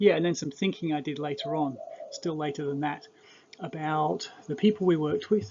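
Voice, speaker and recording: Fairly even intonation from a man, set against noticeable background noise. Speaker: cross-cultural researcher. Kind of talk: lecture. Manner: halting.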